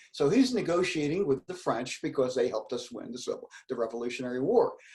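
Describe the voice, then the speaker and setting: The voice is somewhat breathy with a dark, mellow tone, moving at a fairly quick pace through very wide pitch swings. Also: man. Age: 70s. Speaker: retired economics educator. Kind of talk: casual interview, history explanation. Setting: live stream video interview. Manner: animated.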